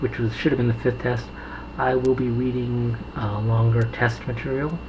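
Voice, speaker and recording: Noticeable noise sits in the background. The talking goes at a moderate pace. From United States. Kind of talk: casual talk to camera.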